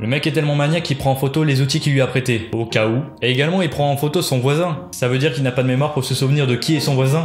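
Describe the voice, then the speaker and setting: Against music in the background, a man talks at a very fast pace with hardly any pauses, his fairly high voice showing very even loudness and ordinary pitch variation. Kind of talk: comedic parody commentary. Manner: casual, joking.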